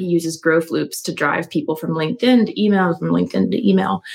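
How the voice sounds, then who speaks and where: A woman with an American accent, fairly low-pitched for a woman, with vocal fry and a very fast pace. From US, Philadelphia suburbs, Pennsylvania. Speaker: copywriter and marketing strategist. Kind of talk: interview conversation.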